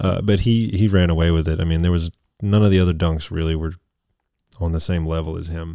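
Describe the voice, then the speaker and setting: A man with a very deep, low pitch and a dark, mellow tone talks at a fairly quick pace. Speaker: podcast co-host. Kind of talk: casual chat. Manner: animated.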